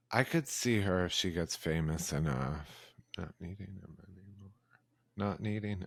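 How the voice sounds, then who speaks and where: In a put-on character voice, a man mumbles at a moderate pace with a very deep, low pitch. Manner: mumbling, very low.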